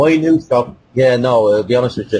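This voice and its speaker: With light background noise, a man with a Dublin accent speaks at a moderate pace. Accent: Dublin Irish. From Dublin, Ireland. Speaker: blacksmith. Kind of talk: interview answer. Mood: relaxed, candid. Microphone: video call.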